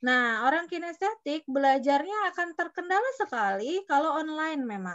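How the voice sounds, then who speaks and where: A woman's high-pitched voice at a moderate pace with hardly any pauses and very wide pitch swings. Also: quiet background. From West Java, Bandung; West Java. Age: 40s. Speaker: education consultant. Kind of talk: online workshop talk. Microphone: video call.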